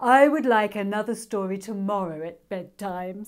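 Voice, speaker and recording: A female-sounding voice puts on a drawling character voice at medium pitch and a moderate pace. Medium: read story. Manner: lazy, drawling.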